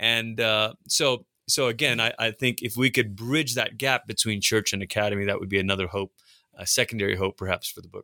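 In a very clean recording with a silent background and a dry, close sound with no echo, a man with a Pacific Northwest accent talks at a fairly quick pace in a medium-pitched, bright, sharp tone with big swings in loudness. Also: ordinary pitch variation. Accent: American, Pacific Northwest. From Malaysia, then Portland, Oregon from age ten. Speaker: pastor and author. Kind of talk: interview about his book. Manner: halting, many repeated words.

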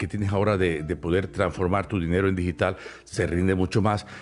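The man's voice sits very deep and low, moving with ordinary pitch variation. He talks at a fairly quick pace over a quiet background. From Cuba. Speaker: podcaster and stage performer. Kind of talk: casual chat. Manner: animated.

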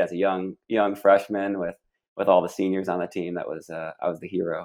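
A man with an American accent and an unremarkable speaking voice talks at a moderate pace and fairly low pitch over a quiet background. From Michigan. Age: 30s. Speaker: wrestling commentator. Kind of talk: casual chat. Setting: phone call.

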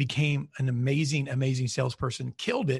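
Somewhat breathy speech over a quiet background. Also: man. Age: 40s. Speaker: marketing CEO and podcast host. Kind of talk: casual interview chat. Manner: halting, many fillers.

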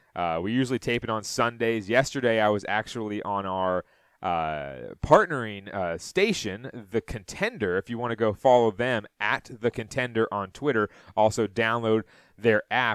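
On a very clean recording with a silent background and a dry, close sound with no echo, a man talks in an unremarkable speaking voice at a medium pitch and a moderate pace. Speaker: sports podcast host. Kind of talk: solo sports talk podcast recapping games and stats. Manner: loose, chatty delivery with frequent filler 'uh' between stat rundowns; folksy, rambling sign-offs that repeat themselves.

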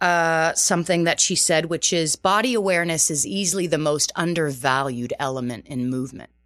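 A woman with a fairly low voice speaks at a moderate pace with ordinary pitch variation, recorded very cleanly against a silent background. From Canada, outside Toronto, Azorean Portuguese family. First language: Portuguese. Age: 40s. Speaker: fitness and Pilates instructor. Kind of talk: interview. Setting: radio studio.

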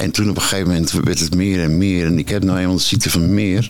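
A man with a very deep, low pitch speaks with fairly even intonation. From Netherlands, Purmerend (North Holland). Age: 60s. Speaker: recovering addict. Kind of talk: personal testimony. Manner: halting.

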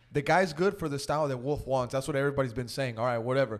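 A man with an American accent at a very fast pace. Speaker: podcast host. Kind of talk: casual sports chat.

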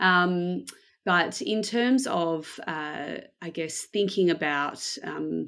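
A woman is speaking. She has an Australian accent. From Australia, Melbourne. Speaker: design operations manager. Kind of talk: interview.

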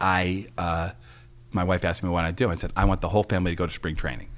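A very clean recording with a silent background of a man with an American accent, a very deep, low pitch and ordinary pitch variation. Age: 50s. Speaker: political candidate and former prosecutor. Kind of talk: interview. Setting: studio.

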